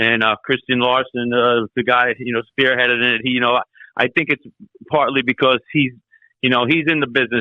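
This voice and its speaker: This man speaks in a New York accent. His pitch is medium and his pace moderate. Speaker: metal vocalist and bassist. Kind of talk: interview.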